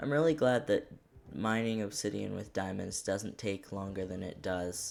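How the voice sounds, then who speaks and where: Ordinary pitch variation marks a man's fairly low voice, delivered at a moderate pace. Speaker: gaming streamer. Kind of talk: casual gameplay commentary. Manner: quiet.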